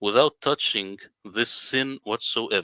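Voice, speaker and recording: With an Arabic accent, a man speaks at a moderate pace and medium pitch, his bright, sharp tone showing ordinary pitch variation in a dry, close, echo-free sound on a very clean recording with a silent background. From Middle East. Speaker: independent Quran translator. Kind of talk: presentation in a livestream interview.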